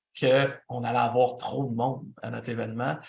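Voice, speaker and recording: A man talks at a fairly slow pace in a Quebec accent. His voice is somewhat breathy. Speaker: event producer and instructor. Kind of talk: lecture.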